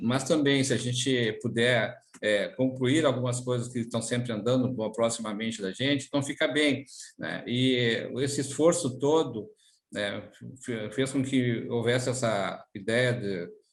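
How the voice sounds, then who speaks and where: This man talks at a fairly slow pace and a medium pitch. His intonation stays fairly even. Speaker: public servants' union leader. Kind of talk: interview. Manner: hesitant, many fillers.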